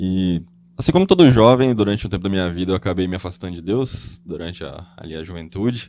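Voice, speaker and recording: A man speaks very fast at a very deep, low pitch, his tone dark and mellow. His loudness swings widely. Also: ordinary pitch variation. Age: 20s. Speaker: guest, Bible quiz show winner. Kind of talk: podcast interview.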